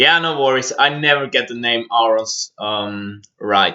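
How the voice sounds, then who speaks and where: This man's voice sits at a medium pitch and shows ordinary pitch variation. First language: German. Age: 20s. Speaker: stagehand and lighting designer streamer. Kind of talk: livestream software tutorial. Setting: livestream.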